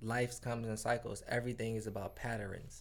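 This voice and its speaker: Speaking at a moderate pace, a man with an American accent has vocal fry. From Detroit area, Michigan. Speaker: recording artist. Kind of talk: casual chat.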